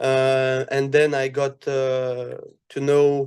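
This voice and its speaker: With a French accent, a man speaks very slowly at a fairly high pitch. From France. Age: 20s. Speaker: airsoft athlete. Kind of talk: casual podcast interview. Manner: halting, many fillers.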